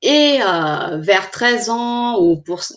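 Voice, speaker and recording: Lively intonation runs through the speech. The speaker is a woman. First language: not French (speaking French). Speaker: clinical psychologist. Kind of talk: online presentation. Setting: live stream. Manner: hesitant, with frequent fillers.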